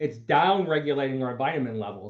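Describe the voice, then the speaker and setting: With an American accent and a normal speaking voice, the man talks at a moderate pace and a fairly high pitch. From Pennsylvania, US. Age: 60s. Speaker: doctor, show host. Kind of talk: panel discussion.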